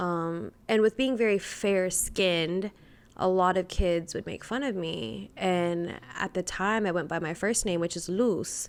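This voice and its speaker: In an American accent, a woman with an unremarkable speaking voice talks at a fairly slow pace, medium in pitch with ordinary pitch variation. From Texas, Houston and Brownwood. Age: 20s. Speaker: podcast guest, bartender. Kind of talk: casual chat.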